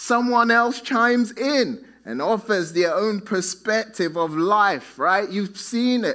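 A man with a high pitch uses a raised, projected voice with a bright, sharp tone. He speaks at a very slow pace with hardly any pauses. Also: ordinary pitch variation. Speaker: pastor. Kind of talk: sermon. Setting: church.

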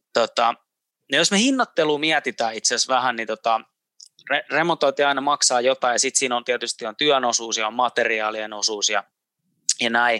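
On a very clean recording with a silent background and a dry, close sound with no echo, a man speaks at medium pitch with a bright, sharp tone, ordinary pitch variation and a moderate pace. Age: 30s. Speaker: podcast host. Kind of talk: interview. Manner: halting.

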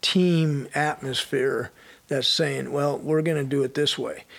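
A man's fairly high voice with an American accent, very slow and fairly even in intonation, over noticeable background noise. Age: 60s. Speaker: retired strength and conditioning coach. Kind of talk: casual interview chat.

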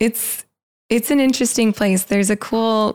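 A woman speaks with an American accent. The recording is very clean and dry, close with no echo and a silent background. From Los Angeles, California. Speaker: freelance photographer. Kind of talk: casual interview chat.

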